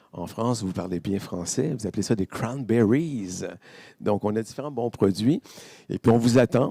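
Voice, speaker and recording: A man speaks with a Quebec accent at a moderate pace. The recording is very clean with a silent background and a dry, close sound with no echo. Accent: Québécois. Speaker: vendor of Canadian food products. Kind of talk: interview at a fair. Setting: live stream set at a fair. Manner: animated.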